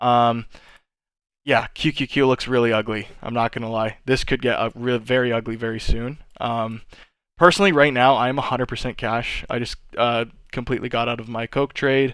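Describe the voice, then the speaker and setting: In a very clean recording with a silent background, a man uses a normal speaking voice at medium pitch, with fairly even intonation and a moderate pace. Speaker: stock trader streaming market analysis. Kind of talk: live stream market tutorial. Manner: casual, many fillers.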